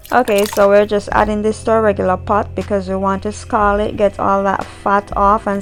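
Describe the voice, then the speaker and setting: A woman at a moderate pace with hardly any pauses, music in the background. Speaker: cooking channel host. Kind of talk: casual chat; cooking tutorial. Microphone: new microphone.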